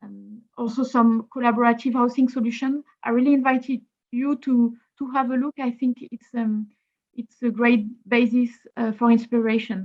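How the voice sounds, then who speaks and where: A woman with a French accent, high-pitched, at a moderate pace, flat and monotone in intonation, with big swings in loudness. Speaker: housing policy speaker. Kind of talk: webinar presentation.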